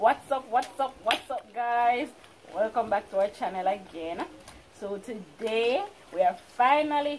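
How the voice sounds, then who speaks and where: A woman speaks with very wide swings in pitch. Light background noise sits behind her. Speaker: vlogger. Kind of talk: casual vlog chat. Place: street. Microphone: phone near.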